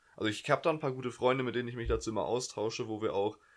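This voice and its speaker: A man is speaking. The background is quiet. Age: young. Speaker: podcast co-host, student. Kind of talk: casual chat. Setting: bedroom at home. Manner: hesitant, many fillers.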